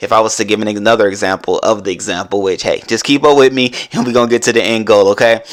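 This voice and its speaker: The speaker is a man. His voice sits at a medium pitch. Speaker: podcast host. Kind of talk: motivational podcast monologue. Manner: fast; animated.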